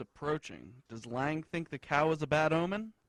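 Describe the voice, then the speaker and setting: The pace is fairly slow. It is an unremarkable speaking voice. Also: man. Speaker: TV news reporter. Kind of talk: broadcast news reporter delivery.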